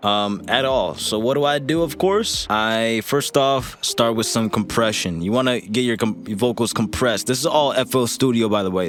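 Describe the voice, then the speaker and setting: Over noticeable noise in the background, a man's speech moves at a moderate pace. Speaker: music producer and rapper teaching vocal mixing. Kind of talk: tutorial. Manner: casual, filler-heavy.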